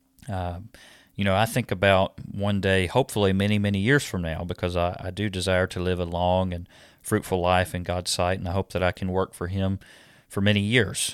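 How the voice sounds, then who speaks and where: Very deep and low in pitch, a man talks at a fairly quick pace. His intonation is monotone and flat. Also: very clean recording, silent background. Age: 30s. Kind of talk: scripted monologue. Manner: hesitant with frequent fillers.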